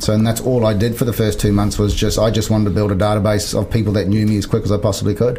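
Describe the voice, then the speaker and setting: In a New Zealand accent, a man talks at a very fast pace with hardly any pauses, a fairly low pitch and monotone, flat intonation, amid audible room echo and noticeable background noise. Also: very even loudness. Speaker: business coach and former real estate CEO. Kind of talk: interview.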